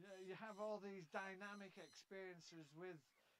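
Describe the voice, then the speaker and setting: A man with an English accent and a high voice speaks at a moderate pace. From England. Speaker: bird book author. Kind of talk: interview.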